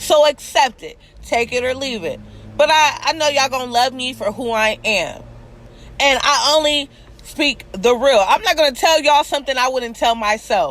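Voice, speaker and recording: A loud, passionate woman's voice, high-pitched, at a fairly slow pace. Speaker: vlogger, commentary show host. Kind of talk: video monologue on social issues. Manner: passionate, emotional.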